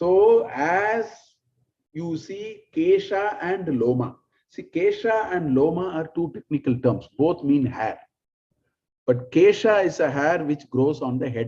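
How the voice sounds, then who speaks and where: In a Tamil accent, a man speaks at a very slow pace with a high pitch. His tone is dark and mellow, with lively intonation. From South India, Tamil. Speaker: spiritual teacher. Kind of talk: lecture.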